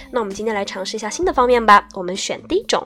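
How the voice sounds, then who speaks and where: With music in the background, a woman speaks at a fairly high pitch with lively intonation. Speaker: TOEFL speaking tutor. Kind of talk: lecture. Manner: casual, chatty.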